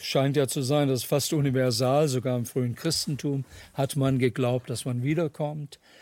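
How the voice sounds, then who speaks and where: Speaking at a moderate pace, a man uses a medium pitch, a dark, mellow tone and fairly even intonation. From Germany, raised partly in Ohio, USA from age 11. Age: 70s. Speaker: ethnologist and author. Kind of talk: panel discussion.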